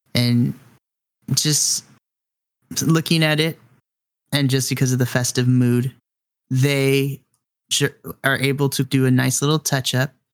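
Speech moves at a fairly slow pace. Long, frequent pauses break it up. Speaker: game master storyteller. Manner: vivid, atmospheric, descriptive storytelling; warm and chatty, addresses players directly.

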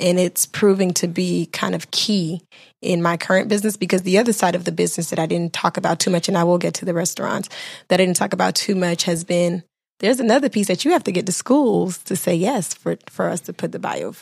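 At a very fast pace, a woman with vocal fry talks at a medium pitch with ordinary pitch variation, on a very clean recording with a silent background. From Miami, Florida (Bahamian-Haitian family). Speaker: entrepreneur, business owner. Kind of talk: casual interview chat.

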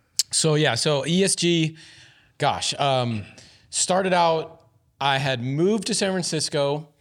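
In a very clean recording with a silent background, a man with a normal speaking voice talks at a fairly slow pace, his fairly high pitch showing ordinary pitch variation. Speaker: founder of a scooter review channel. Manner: casual, laughing.

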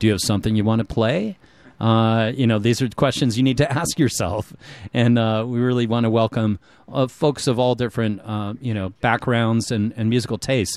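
A man talks at a fairly quick pace in an ordinary speaking voice of medium pitch, his intonation fairly even. The recording is very clean, with a silent background. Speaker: community radio DJ. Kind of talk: casual chat and fundraising appeal. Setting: radio studio. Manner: relaxed, rambling with filler words.

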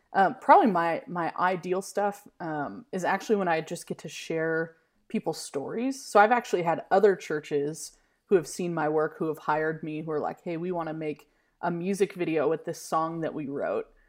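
Speaking at a moderate pace in a normal speaking voice, a woman with a fairly low pitch and ordinary pitch variation swings widely in loudness against a quiet background. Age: 30s. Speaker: filmmaker and pastor. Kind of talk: casual interview.

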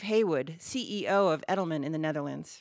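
A woman with an American accent and a normal speaking voice uses lively intonation in a very clean recording with a silent background. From United States. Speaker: podcast host. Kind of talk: interview podcast.

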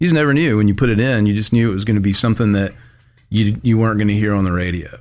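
With a Mississippi accent, the speaker goes at a very fast pace with ordinary pitch variation. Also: man, fairly low pitch for a man. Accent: US Southern (Mississippi). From Mississippi, Tupelo. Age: 40s. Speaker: skateboard shop owner. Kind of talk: casual chat. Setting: studio.

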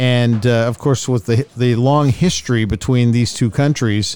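In a very clean recording with a silent background, a man speaks at a moderate pace and a medium pitch, with ordinary pitch variation. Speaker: podcast host. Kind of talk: casual tired end-of-day recap chat between co-hosts, not play-by-play. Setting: on the road at a tournament. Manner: tired, weary, conversational.

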